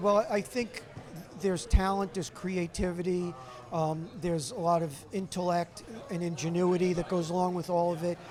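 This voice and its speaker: A moderate pace over noticeable background noise. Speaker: radio station alumnus, former sportscaster, now travel blogger. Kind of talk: interview. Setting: alumni lunch at a brewery. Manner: talkative.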